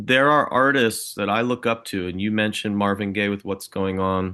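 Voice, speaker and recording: Over a quiet background, a man's fairly low voice has a bright, sharp tone. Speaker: rock musician. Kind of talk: interview answer. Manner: calm, focused.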